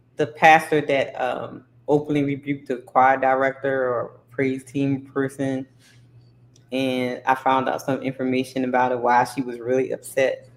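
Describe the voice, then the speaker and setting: A woman with a very deep, low pitch, monotone, flat intonation and a moderate pace. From New Orleans, Baltimore and Gullah Geechee region. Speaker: YouTube talk show host. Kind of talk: casual chat. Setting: livestream panel.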